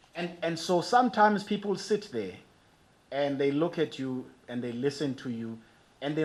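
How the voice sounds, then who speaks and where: Audible room echo surrounds a man who speaks fairly slowly, his pitch swinging very widely. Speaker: archbishop, preacher. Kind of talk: sermon.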